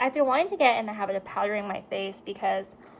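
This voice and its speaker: There is noticeable background noise behind this woman. Her pitch is fairly high and her intonation lively. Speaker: beauty vlogger. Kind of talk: casual chat. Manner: slurring words.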